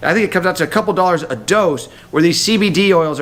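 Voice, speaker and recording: Speaking at a very fast pace, a man uses a high pitch with ordinary pitch variation. His tone is animated. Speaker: health talk presenter. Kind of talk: sales pitch.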